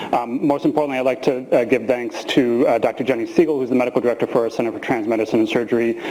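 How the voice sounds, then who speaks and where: Over noticeable background noise, a man at medium pitch talks at a very fast pace with hardly any pauses and fairly even intonation. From US Midwest, small town near Chicago (Illinois). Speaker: physician and professor. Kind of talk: lecture.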